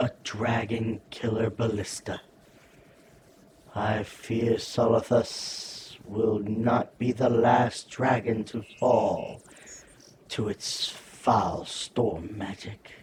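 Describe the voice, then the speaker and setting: A man speaks in a put-on character voice at medium pitch. His delivery is very slow, with slight echo. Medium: video game. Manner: serious, urgent.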